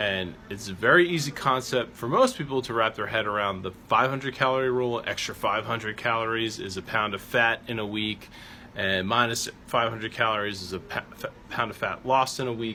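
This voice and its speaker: A man with an ordinary speaking voice, medium pitch with ordinary variation, a fairly quick pace and hardly any pauses. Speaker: strength coach. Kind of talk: tutorial. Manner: casual with fillers.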